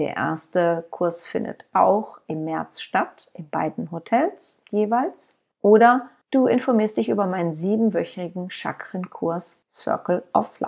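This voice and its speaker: A woman speaks at a very slow pace with lively intonation and a medium pitch. The background is quiet. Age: 50s. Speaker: podcast host and author. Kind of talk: podcast monologue.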